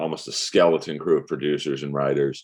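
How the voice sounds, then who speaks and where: At a moderate pace, a man talks in an American accent. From US West Coast, Los Angeles. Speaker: comedian and voice actor. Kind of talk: casual chat. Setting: podcast interview. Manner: halting, many fillers.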